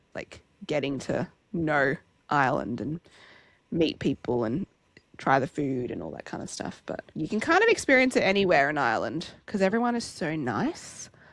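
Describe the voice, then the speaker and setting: The speaker sounds animated, with very wide pitch swings and big swings in loudness at a moderate pace. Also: woman, very deep, low pitch for a woman. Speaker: podcast co-host. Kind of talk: casual chat.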